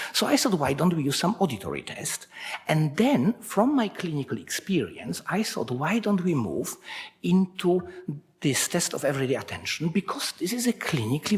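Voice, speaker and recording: A man's high voice in a Polish accent, with very wide pitch swings, a moderate pace and noticeable background noise. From Poland. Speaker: researcher. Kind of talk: conference talk.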